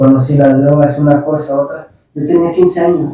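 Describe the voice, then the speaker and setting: A man with a Jalisco accent talks fairly slowly at a fairly high pitch, with ordinary pitch variation. His tone is dark and mellow and somewhat breathy. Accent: Mexican Spanish, western (Jalisco). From Mexico, Guadalajara, Jalisco (Tlaquepaque). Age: 30s. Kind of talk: testimony.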